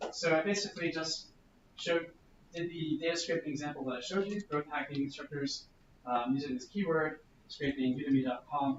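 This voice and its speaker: Talking at a fairly quick pace, a man has a fairly high pitch and ordinary pitch variation. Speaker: workshop presenter on growth hacking. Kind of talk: workshop presentation. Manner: fast.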